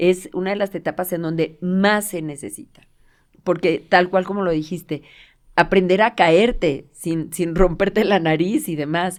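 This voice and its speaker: In a very clean recording with a silent background, a woman with an unremarkable speaking voice talks fairly slowly at medium pitch with ordinary pitch variation. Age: 60s. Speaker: physiotherapist. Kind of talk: casual interview.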